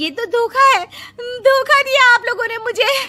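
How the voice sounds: Putting on a character voice, a woman speaks at an extremely high pitch in a bright, sharp tone, fairly slowly, with ordinary pitch variation.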